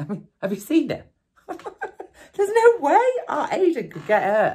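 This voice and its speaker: A woman talks with very wide pitch swings and a somewhat breathy sound. The background is quiet. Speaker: actor playing a mother on the phone. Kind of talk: acted one-sided phone call monologue. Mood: annoyed, defensive, sarcastic. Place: studio.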